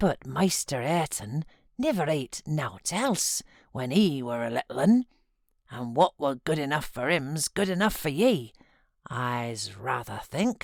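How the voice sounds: A woman puts on a character voice with a Yorkshire accent, her pitch extremely low for a woman and swinging widely, with vocal fry. She talks at a slow pace in a dry, close sound with no echo. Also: slightly mellow tone, very clean recording, silent background.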